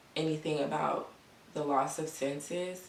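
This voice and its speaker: Over noticeable background noise, a woman with a very deep, low pitch talks at a fairly slow pace in a monotone, flat intonation. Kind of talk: casual talk to camera.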